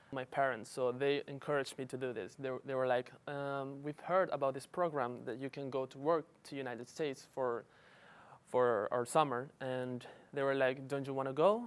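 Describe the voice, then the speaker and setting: At a medium pitch, a man speaks at a moderate pace in a Spanish accent. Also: fairly even intonation. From Paraguay, Asunción. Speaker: international student worker. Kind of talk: interview testimony.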